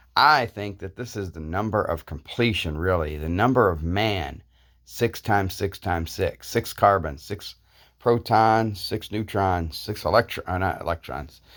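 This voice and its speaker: On a very clean recording with a silent background, the voice shows ordinary pitch variation. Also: man, fairly low pitch for a man. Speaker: YouTuber. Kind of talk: casual monologue. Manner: slow.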